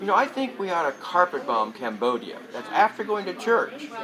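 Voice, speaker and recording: Crowd noise fills the background as a man raises and projects his high-pitched voice. His pitch swings very widely. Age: 70s. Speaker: Vietnam-era veteran and convention speaker. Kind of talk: casual interview. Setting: political convention.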